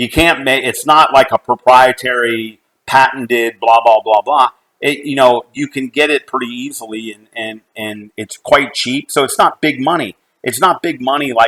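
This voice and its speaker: A man in a Midwestern American accent, medium pitch, ordinary pitch variation, a moderate pace, and a dry, close sound with no echo. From US Midwest (Cincinnati, Ohio). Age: 60s. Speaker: company executive. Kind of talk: personal talk at online event. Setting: online live event.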